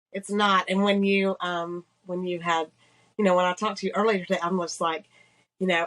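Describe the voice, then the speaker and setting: A woman with a slight Georgia accent talks at a medium pitch and with fairly even intonation. The sound is dry and close, with no echo. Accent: slight Georgia Southern. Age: 50s. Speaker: businesswoman sharing survival story. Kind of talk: testimony.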